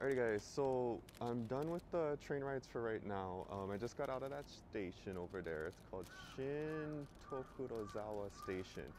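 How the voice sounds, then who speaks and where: At a moderate pace, a man talks with lively intonation over noticeable background noise, the sound dry with no echo. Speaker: travel vlogger. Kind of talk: casual vlog chat. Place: street. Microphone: phone near.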